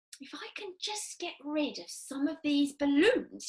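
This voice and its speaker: A woman puts on a character voice with a high pitch and speaks at a fairly slow pace. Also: lively intonation. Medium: read story. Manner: loud, shrill.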